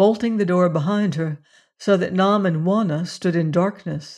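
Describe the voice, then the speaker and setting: Over a quiet background, a woman with a normal speaking voice and medium pitch talks at a fairly slow pace with ordinary pitch variation. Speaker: audiobook narrator. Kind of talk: dramatic narration of a classic adventure novel, with tense, menacing character voices. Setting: studio. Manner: suspenseful, hushed and menacing in the threats, tremulous for Juana.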